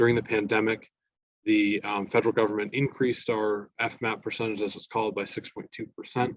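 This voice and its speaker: A man at a medium pitch and fairly quick pace, in a dry, close sound with no echo. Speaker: government budget analyst. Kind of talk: policy presentation. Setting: meeting with audience. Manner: fast.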